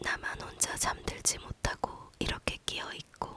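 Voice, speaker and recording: A whispered voice moves at a very slow pace over noticeable background noise. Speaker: ASMR reader. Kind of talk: whispered bedtime book reading.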